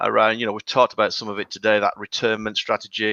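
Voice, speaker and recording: A man with a northern English accent speaks at a medium pitch in a bright, sharp tone. The sound is dry and close with no echo, over a quiet background. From northern England. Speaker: HR consultancy founder. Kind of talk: podcast interview. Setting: live video podcast.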